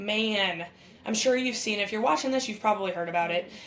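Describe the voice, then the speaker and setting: Over noticeable background noise, a woman speaks in an animated tone. Her pitch is fairly high and varies in an ordinary way. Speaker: podcast co-host and former softball player. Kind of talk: live sports commentary chat. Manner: casual, animated.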